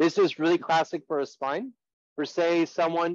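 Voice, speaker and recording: Dry and close with no echo, a man's fairly high voice carries ordinary pitch variation. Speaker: sports physical therapist. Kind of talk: lecture. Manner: fast.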